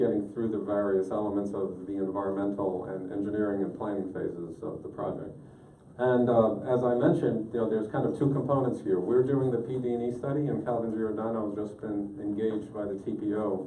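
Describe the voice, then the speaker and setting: Over light background noise and audible room echo, a man talks at a fairly quick pace and a fairly low pitch, with ordinary pitch variation. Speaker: presenter. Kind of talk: presentation to an advisory group. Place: meeting room. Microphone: camera far.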